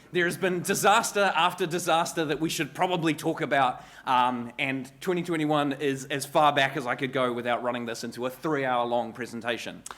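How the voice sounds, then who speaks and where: Hardly pausing, a man with a New Zealand accent speaks at a fairly quick pace and fairly high pitch, with ordinary pitch variation and audible room echo. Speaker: cybersecurity consultant. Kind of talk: conference talk. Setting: stage with audience. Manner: fast.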